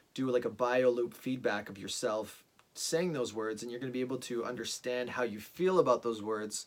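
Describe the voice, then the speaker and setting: The speaker is a man with a medium pitch. His pitch variation is ordinary. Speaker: vlogger. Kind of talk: monologue. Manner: fast; halting, many fillers and restarts.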